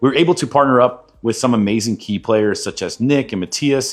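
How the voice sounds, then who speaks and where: Here a man speaks at medium pitch with lively intonation. The recording is very clean, with a silent background. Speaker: card shop owner. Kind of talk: business recap monologue. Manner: fast.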